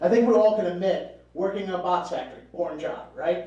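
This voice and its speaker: There is audible room echo as a man speaks. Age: 30s. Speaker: stand-up comedian. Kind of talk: stand-up. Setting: stage with audience.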